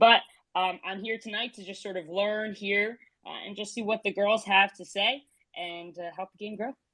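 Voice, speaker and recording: A woman with a New Jersey accent speaks at medium pitch in a bright, sharp tone, her loudness swinging widely. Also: fairly even intonation, moderate pace. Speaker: sports podcast host, former college athlete. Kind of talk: casual chat. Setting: online audio space.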